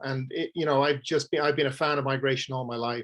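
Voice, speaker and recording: A fairly high-pitched man with an Irish accent, monotone and flat, at a fairly quick pace. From Ireland, Dublin. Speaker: author and conservationist. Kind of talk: presentation. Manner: halting, many fillers and repeats.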